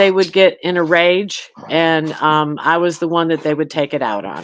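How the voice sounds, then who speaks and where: Keeping a moderate pace, a woman speaks with ordinary pitch variation. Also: fairly low pitch for a woman. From Michigan. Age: 60s. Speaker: domestic violence survivor. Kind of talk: testimony. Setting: live stream panel. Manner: halting.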